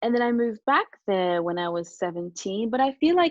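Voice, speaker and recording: A woman with a Japanese accent and ordinary pitch variation. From Japan, Australia and Ghana. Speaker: singer and pop artist. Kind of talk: casual chat. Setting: podcast interview.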